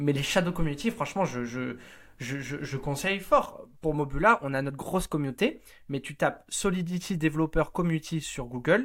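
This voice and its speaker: At a moderate pace, a man with a normal speaking voice uses lively intonation at a fairly high pitch, in a very clean recording with a silent background. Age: 20s. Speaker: startup studio co-founder. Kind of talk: interview.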